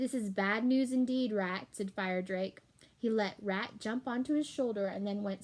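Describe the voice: This is plain reading aloud, its pitch varying in an ordinary way.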